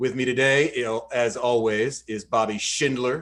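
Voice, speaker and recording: This is an ordinary speaking voice, a man's at medium pitch with an American accent. His intonation is fairly even, and the recording is very clean with a silent background. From Georgia, US South. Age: 30s. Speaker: podcast host. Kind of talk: podcast intro reading; casual chat. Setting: studio.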